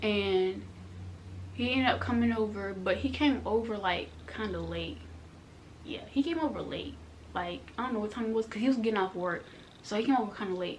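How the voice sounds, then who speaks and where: With an animated tone and a fairly quick pace, a woman speaks between long, frequent pauses in a room with audible echo. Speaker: vlogger. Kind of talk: storytime vlog. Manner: fast.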